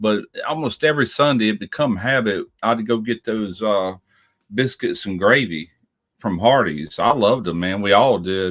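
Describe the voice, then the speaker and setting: With an American accent, a man talks at a moderate pace, his pitch fairly low with ordinary variation. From US Gulf Coast, Pascagoula, Mississippi. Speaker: barbecue show panelist. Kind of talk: casual chat.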